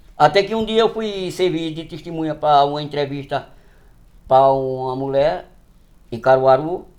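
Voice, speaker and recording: This man's voice sits fairly high, with ordinary pitch variation. He talks at a fairly slow pace, leaving long, frequent pauses. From Northeast Brazil. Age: 60s. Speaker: farmer. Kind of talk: interview storytelling.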